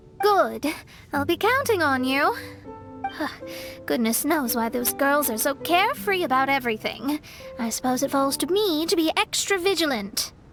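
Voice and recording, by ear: Faint music plays behind a woman doing a put-on character voice, high-pitched with a fairly bright tone, lively intonation and a fairly slow pace.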